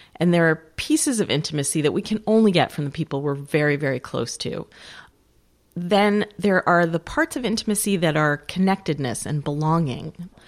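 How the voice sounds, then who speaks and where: In a very clean recording with a silent background, a woman with a normal speaking voice and an American accent talks at a moderate pace, her pitch fairly low for a woman with ordinary variation. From Western New York. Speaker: author. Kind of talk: interview conversation.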